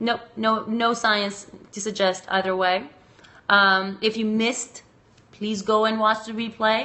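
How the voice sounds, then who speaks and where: With a slight Macedonian accent, a woman speaks fairly slowly at a medium pitch in a monotone, flat delivery. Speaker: sex researcher and educator. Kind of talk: live stream chat answering viewer comments. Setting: live video stream.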